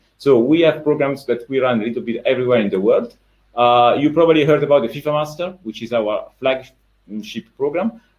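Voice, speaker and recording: A man at a fairly high pitch, fairly quick pace and ordinary pitch variation. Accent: Italian. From Italy. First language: Italian. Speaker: sports education manager. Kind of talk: webinar presentation. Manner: hesitant, many fillers.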